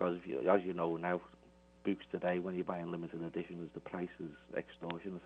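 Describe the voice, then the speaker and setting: In a Liverpool accent, the speaker moves at a fairly quick pace with a monotone, flat intonation. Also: man, very deep, low pitch for a man. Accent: Scouse. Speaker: Beatles author. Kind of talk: radio interview. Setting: phone call.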